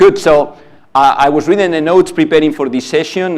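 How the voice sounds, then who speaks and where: A man with a non-native accent. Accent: foreign, noticeable. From outside the US. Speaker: panel moderator, pharma executive. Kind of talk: conference panel moderation.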